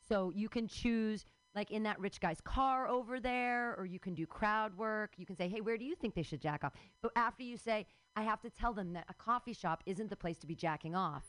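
An ordinary speaking voice from a woman, fairly high-pitched, with ordinary pitch variation, a fairly quick pace and a dry, close sound with no echo. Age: 40s. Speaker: comedy open mic host. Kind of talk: stand-up. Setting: stage with audience.

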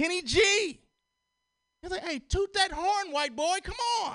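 Very slowly and with lively intonation, a man speaks in a raised, projected voice at an extremely high pitch. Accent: American. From Chicago. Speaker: comedian. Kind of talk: stand-up.

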